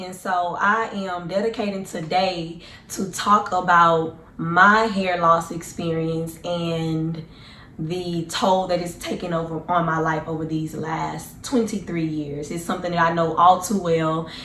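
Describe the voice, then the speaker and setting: A woman's voice with fairly even intonation and audible room echo. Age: 20s. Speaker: vlogger. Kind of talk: personal testimony vlog. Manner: casual, hesitant with fillers.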